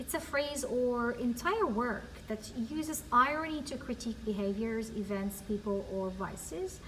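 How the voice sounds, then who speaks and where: A woman with a fairly high pitch and lively intonation talks at a moderate pace, with audible room echo and noticeable background noise. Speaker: ESL teacher. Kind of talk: recorded class lesson. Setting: empty classroom.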